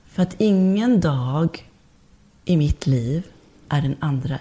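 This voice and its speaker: Very slowly, a woman speaks at a very deep, low pitch with a dark, mellow, somewhat breathy tone. Her intonation is lively. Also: very even loudness. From born abroad, moved to Sweden at age four. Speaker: body and movement therapist, birth doula. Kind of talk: casual interview chat.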